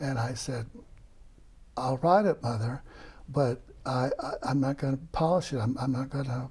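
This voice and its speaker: At a moderate pace and with ordinary pitch variation, the voice carries clear vocal fry. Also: man. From Arkansas. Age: 70s. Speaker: author. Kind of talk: interview. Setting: studio. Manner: halting.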